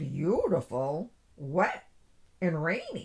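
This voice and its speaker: This put-on character voice sounds female and sits at a middle pitch. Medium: read story.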